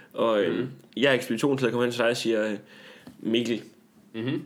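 A man at a very fast pace. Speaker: comedian and podcast host. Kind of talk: casual chat.

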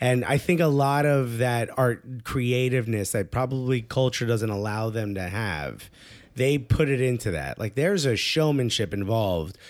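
A man with an unremarkable speaking voice and medium pitch speaks with lively intonation in a very clean recording with a silent background. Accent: American. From Newark, New Jersey. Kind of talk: casual chat. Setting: apartment.

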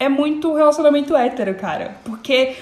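A woman's high voice at a moderate pace, with noticeable background noise. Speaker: podcast co-host. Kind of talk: casual chat.

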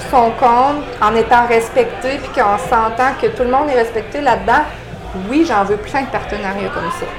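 A woman with a Quebec accent speaks at a fairly slow pace in a high voice with ordinary pitch variation, over noticeable background noise and audible room echo. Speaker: real estate investor. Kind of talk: interview.

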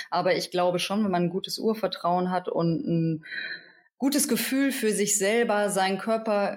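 At a moderate pace, a woman's unremarkable speaking voice shows ordinary pitch variation. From Hamburg, northern Germany. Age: 30s. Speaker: midwife. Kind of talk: interview conversation.

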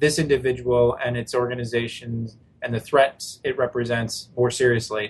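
A somewhat breathy man's voice at medium pitch, fairly even in intonation, at a moderate pace. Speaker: policy analyst. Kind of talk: news interview.

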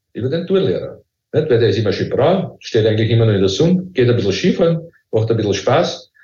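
With audible room echo, a man speaks at a fairly quick pace in vocal fry, his pitch swinging very widely. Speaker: professor. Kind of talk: interview.

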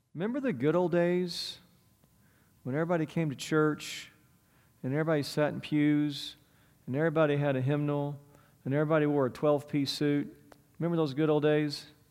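Fairly even in intonation, the speech runs at a fairly quick pace broken by long, frequent pauses, with audible room echo. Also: man, fairly high pitch for a man. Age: 40s. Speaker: pastor. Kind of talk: sermon.

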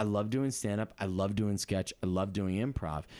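An unremarkable speaking voice with an American accent and ordinary pitch variation, in a very clean recording with a silent background. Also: man. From Massachusetts. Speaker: comedian. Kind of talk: casual chat.

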